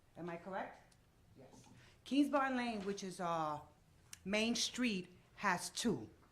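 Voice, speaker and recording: Speaking very slowly, a woman keeps a medium pitch. Her intonation is lively, and the room echo is audible. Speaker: resident speaking at public meeting. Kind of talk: public comment at council meeting. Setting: council meeting with microphone. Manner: loud.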